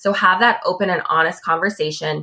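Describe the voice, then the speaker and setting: A woman's bright, sharp voice with an American accent, moderate in pace, with ordinary pitch variation. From US West Coast, Los Angeles. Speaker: tech sales professional. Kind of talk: interview. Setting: remote call.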